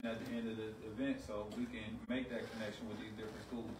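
There is noticeable noise in the background as a man talks fairly quickly. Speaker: event moderator. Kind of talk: community panel discussion. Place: shop.

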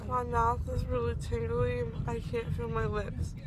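A woman speaks at a very slow pace. The sound is dry with no echo, and loud background noise runs underneath. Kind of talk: casual vlog chat. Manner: numb-mouthed, groggy post-surgery speech. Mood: distressed, slightly whiny. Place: car. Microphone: phone near.

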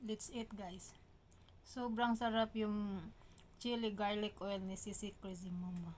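A woman speaks at a very slow pace with fairly even intonation over light background noise. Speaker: food vlogger. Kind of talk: casual mukbang vlog chat. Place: kitchen. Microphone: phone near.

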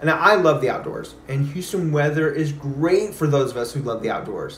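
A man's fairly high-pitched voice with an American accent, ordinary pitch variation and a moderate pace, plus audible room echo and light background noise. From Texas. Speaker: realtor. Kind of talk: sales pitch.

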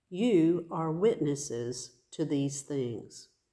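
Against a quiet background, a woman speaks with a very deep, low pitch and a dark, mellow tone. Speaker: pastor or worship leader. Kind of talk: scripture reading. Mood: calm and earnest. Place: church. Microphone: phone near.

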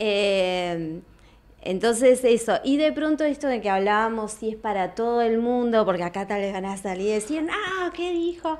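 A woman's fairly high voice at a fairly slow pace, with very wide pitch swings. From Argentina, Plotier (Neuquén); Neuquén, Argentina. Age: 40s. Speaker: yoga teacher. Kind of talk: casual interview. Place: studio. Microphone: studio mic.

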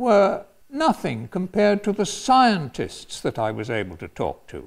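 A man with an English accent talks at a moderate pace and a high pitch. The background is quiet. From England, London. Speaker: retired professor and former priest. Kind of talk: personal storytelling talk. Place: hall.

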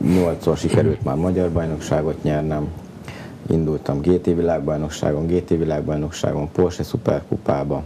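A man with a very deep, low pitch speaks at a moderate pace in a monotone, flat intonation over light background noise. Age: 30s. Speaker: racing driver; guest. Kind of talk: interview. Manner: halting. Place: studio. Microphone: lapel.

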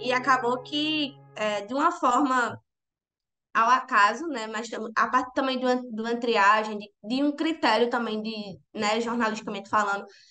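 Faint music plays behind a woman's voice. She talks at a moderate pace with ordinary pitch variation. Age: 20s. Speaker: journalist. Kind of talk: interview testimony. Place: home room. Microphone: earbuds.

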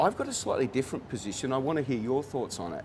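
With an Australian accent and lively intonation, a man speaks at a very fast pace over light background noise. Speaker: actor and director hosting interview; actor, director hosting interview. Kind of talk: interview. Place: cafe. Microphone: lapel.

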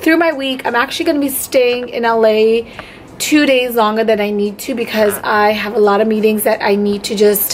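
A woman's voice with ordinary pitch variation, at a moderate pace, over light background noise. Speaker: beauty vlogger. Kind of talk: casual vlog chat. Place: home room. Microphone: phone near.

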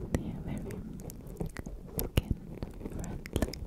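At a fairly slow pace, a soft-spoken woman whispers her words. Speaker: ASMR creator. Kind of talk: soft-spoken ASMR chat. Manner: soft close whisper. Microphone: studio mic.

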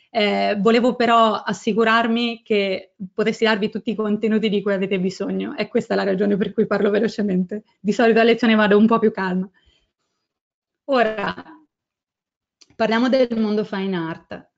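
A woman speaks with a fairly high pitch in a monotone, flat intonation. Her pauses are long and frequent. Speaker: photographer and photo editing instructor. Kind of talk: webinar lecture. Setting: online webinar. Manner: fast.

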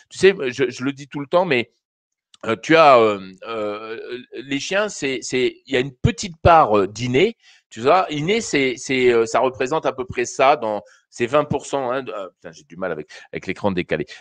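A man at medium pitch, with lively intonation, a fairly slow pace and big swings in loudness, against a quiet background in a dry sound with no echo. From France. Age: 50s. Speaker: dog behaviour trainer. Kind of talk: live call-in advice show. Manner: halting, many fillers. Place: home room. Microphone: studio mic.

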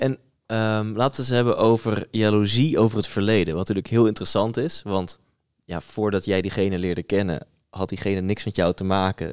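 The background stays quiet while a man talks very fast. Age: 30s. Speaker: podcast host. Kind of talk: casual chat. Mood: open, reflective, animated. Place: studio. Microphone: studio mic.

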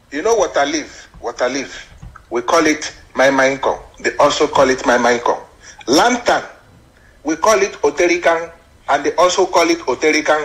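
The speaker talks at a moderate pace with lively intonation, leaving long, frequent pauses. Noticeable background noise runs through the recording. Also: man, fairly high pitch for a man. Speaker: caller. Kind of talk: phone-in comment.

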